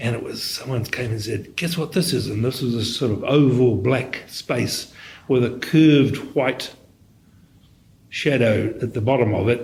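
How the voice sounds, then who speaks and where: Slow-paced and somewhat breathy, a man talks at a medium pitch in a New Zealand accent. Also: ordinary pitch variation. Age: 70s. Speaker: radiologist. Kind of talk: interview. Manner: halting, with frequent repetitions.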